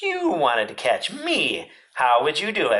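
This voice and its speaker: At a moderate pace, the speaker puts on a character voice. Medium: read story.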